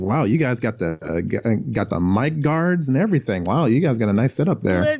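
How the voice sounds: A man at medium pitch with very wide pitch swings, very even loudness and a fairly quick pace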